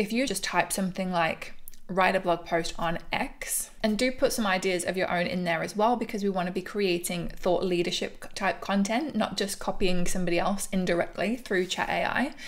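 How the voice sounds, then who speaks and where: Speaking at a moderate pace with an English accent, a woman keeps a medium pitch, ordinary pitch variation and hardly any pauses. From England. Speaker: business coach. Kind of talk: tutorial. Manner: casual, conversational.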